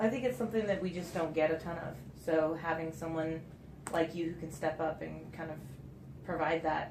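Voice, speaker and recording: A woman talks fairly quickly in a normal speaking voice, fairly low in pitch with ordinary pitch variation. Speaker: business interview host. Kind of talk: interview host talk.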